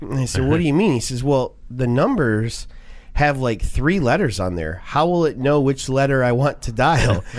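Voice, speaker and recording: Speaking at a moderate pace with lively intonation, the voice is a plain, everyday voice. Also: man, medium pitch for a man. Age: 40s. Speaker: radio finance show host. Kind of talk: radio talk show.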